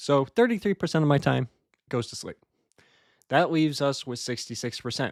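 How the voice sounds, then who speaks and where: A man's medium-pitched voice with lively intonation, a dry, close sound free of echo, and a moderate pace. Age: 20s. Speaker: Toastmasters club member. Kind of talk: practice speech. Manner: conversational, some filler words.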